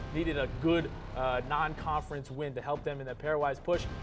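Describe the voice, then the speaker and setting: Music plays in the background as the speaker talks with ordinary pitch variation. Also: man. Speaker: studio analyst. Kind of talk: sports commentary. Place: studio. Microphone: lapel.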